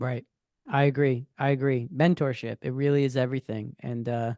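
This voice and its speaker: A man with an American accent speaks at a moderate pace. The sound is dry and close with no echo, over a quiet background. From New York. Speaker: photographer, former musician. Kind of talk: casual podcast interview. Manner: loud.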